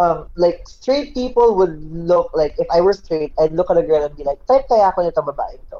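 Pitched high with a dark, mellow tone, a man speaks at a fairly quick pace. His intonation is lively and he barely pauses. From Philippines. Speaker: IT worker. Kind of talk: casual chat.

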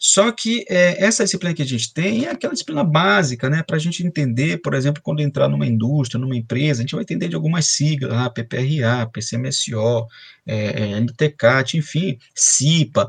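At a moderate pace, this somewhat breathy voice runs with hardly any pauses and very wide pitch swings. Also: man, fairly high pitch for a man. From Brazil, Belém do Pará. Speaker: chemical engineer and professor. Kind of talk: interview. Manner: halting, many fillers.

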